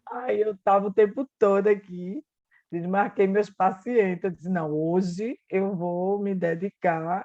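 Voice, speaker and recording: Her voice sits at a medium pitch with ordinary pitch variation and a dark, mellow tone. The woman speaks fairly slowly, and the sound is dry and close with no echo. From Pernambuco, Brazil. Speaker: psychotherapist. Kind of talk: casual chat.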